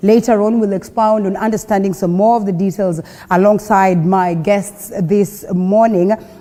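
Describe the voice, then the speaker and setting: A woman's medium-pitched voice with a Kenyan accent, monotone and flat in intonation, at a moderate pace over noticeable background noise. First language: Kenyan local language. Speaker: TV morning show host. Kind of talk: news and talk show presenting. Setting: TV studio on location in Mombasa.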